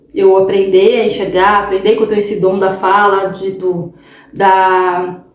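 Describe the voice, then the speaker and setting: Audible room echo surrounds a woman's medium-pitched voice. She speaks at a fairly slow pace. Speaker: holistic therapist and tarot reader. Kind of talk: casual vlog monologue. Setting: home recording at night. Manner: talkative, tends to speak loudly; animated, repetitive fillers.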